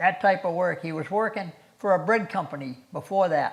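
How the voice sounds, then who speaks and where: A man talks with a Massachusetts accent. His voice is high, and his pitch varies in an ordinary way. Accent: New England (Massachusetts). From Massachusetts, Ashby (north-central). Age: 80s+. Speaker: local resident sharing town history. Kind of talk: oral history interview. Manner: halting, with repetitions.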